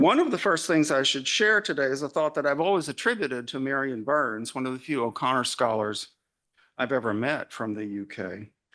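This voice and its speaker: Over a quiet background, a man with an Arkansas accent and medium pitch speaks at a fairly quick pace in a bright, sharp tone. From US South, Arkansas. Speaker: literary scholar and journal editor. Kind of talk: conference keynote lecture.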